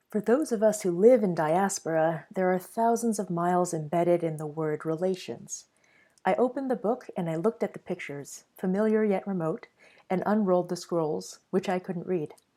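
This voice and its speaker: In a very clean recording with a silent background, a speaker with a Mandarin accent uses a dark, mellow tone, a moderate pace and ordinary pitch variation. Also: woman, medium pitch for a woman. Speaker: artist. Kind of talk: reading aloud.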